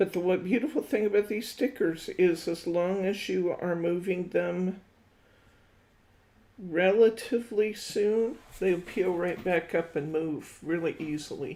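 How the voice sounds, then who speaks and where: In a plain, everyday voice, a woman talks at a fairly slow pace with a medium pitch and ordinary pitch variation. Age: 60s. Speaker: craft instructor. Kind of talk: live craft tutorial. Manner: casual, thinking aloud.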